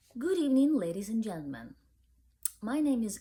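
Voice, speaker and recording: A woman's fairly high, somewhat breathy voice with a dark, mellow tone and very wide pitch swings, in a Ukrainian accent. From Ukraine. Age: young. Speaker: book reviewer. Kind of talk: casual vlog talk. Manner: halting, many fillers.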